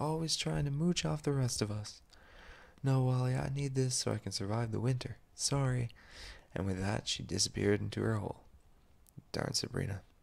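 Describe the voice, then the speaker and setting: Somewhat breathy, a man with a medium pitch speaks at a moderate pace, using lively intonation and long, frequent pauses. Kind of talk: storytelling narration of a children's-style animal tale. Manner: whispered, soft-spoken.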